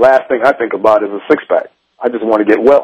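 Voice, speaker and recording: This is a man's medium-pitched, plain, everyday voice. His intonation stays fairly even. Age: 40s. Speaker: personal trainer. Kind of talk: radio interview.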